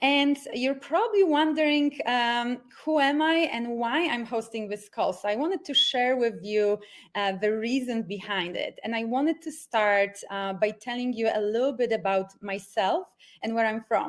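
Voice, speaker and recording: A woman's high-pitched voice with lively intonation, at a moderate pace. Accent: Polish. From Poland. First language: Polish. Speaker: life coach. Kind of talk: online workshop presentation. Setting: video call from home. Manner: enthusiastic.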